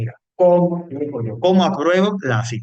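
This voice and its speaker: Lively in intonation, a man talks with an Andalusian accent. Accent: Cordoban Andalusian Spanish. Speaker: teacher. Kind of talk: lecture.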